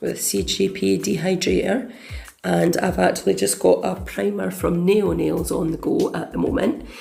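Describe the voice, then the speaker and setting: A woman speaks with music in the background. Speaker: nail technician. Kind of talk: tutorial voiceover.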